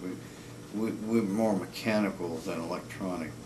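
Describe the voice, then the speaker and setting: Amid noticeable background noise and audible room echo, a man with a fairly low pitch talks at a moderate pace. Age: 60s. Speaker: cinematographer. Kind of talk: casual video blog monologue. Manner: halting, many fillers.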